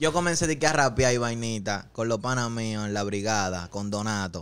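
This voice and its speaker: The man keeps his delivery at a moderate pace. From Dominican Republic, Santo Domingo Oeste. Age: 20s. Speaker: rapper. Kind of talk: casual chat. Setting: studio. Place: studio. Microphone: studio mic.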